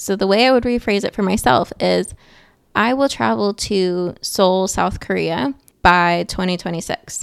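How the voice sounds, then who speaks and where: A woman with a plain, everyday voice talks at a fairly slow pace, her medium pitch moving in a lively way, on a very clean recording with a silent background. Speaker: podcast host and aspiring author. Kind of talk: solo podcast monologue. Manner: casual, conversational.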